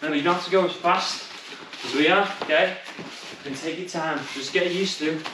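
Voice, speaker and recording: A man talks at a moderate pace. The room echo is audible, and background noise is noticeable. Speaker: kickboxing coach. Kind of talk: workout instruction. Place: gym.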